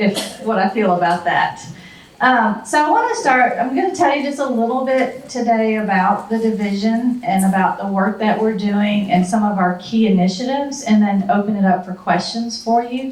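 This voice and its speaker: A speaker with a Southern US accent is heard over noticeable background noise, with audible room echo. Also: woman. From US South. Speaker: university administrator. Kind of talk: talk to a retiree group. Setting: talk with audience, handheld mic.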